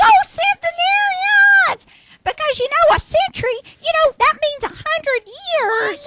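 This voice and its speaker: A woman uses a put-on character voice, squeaky and at an extremely high pitch. She talks at a fairly slow pace. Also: dry, close sound with no echo. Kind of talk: comic overacting. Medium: stage play. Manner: excited, rambling, laughing a lot.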